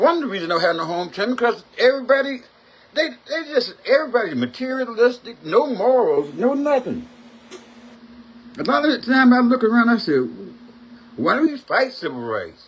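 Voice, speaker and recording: Animated and at an extremely high pitch, a man speaks at a fairly quick pace with lively intonation and long, frequent pauses. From US South (Mississippi). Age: 60s. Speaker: talk show host. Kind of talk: opinion rant.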